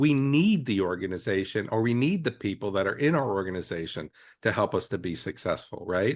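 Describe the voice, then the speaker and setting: A man's plain, everyday voice, fairly low in pitch, fairly quick and lively in intonation, over a quiet background. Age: 60s. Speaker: EMS leader and podcast co-host. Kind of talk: casual podcast discussion.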